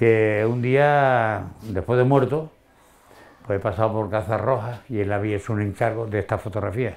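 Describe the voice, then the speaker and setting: A man talks at a moderate pace in a fairly low pitch with fairly even intonation, a plain, everyday voice. The background is quiet. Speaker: shopkeeper and writer. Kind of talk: interview. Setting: his home wine cellar.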